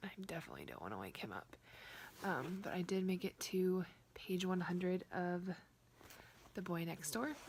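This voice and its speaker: Quiet and somewhat breathy, a woman talks at a moderate pace and medium pitch with ordinary pitch variation and long, frequent pauses. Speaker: book vlogger. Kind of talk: casual vlog.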